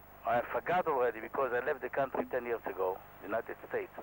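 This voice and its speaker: There is noticeable background noise behind a man speaking with an Israeli accent. He uses ordinary pitch variation. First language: Hebrew. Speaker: helicopter pilot. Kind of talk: tutorial. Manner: halting.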